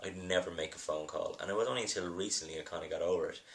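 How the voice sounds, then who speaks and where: The speaker is a man. He has an Irish accent. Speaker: film producer. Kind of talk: video blog monologue. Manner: halting, many fillers.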